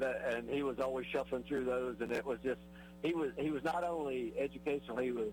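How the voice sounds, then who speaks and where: A man speaks at a very fast pace with music in the background. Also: very even loudness. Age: 70s. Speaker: radio host. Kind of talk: casual chat. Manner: halting.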